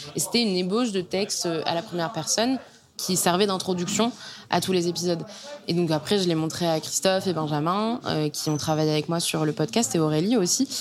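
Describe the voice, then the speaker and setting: A woman's fairly low voice at a fairly quick pace, with ordinary pitch variation and very even loudness, over noticeable background noise. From Normandy, France (Caen). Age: young. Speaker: journalist and podcast author. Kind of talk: casual interview conversation. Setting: bar in a converted house, sitting in a bathtub.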